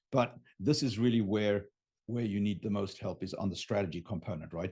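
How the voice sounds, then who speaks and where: With a German accent, a man with a fairly low pitch speaks at a fairly quick pace in a somewhat breathy, dark, mellow tone. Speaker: business coach on raising capital. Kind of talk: unscripted live talk to camera. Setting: home studio, live stream. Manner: animated.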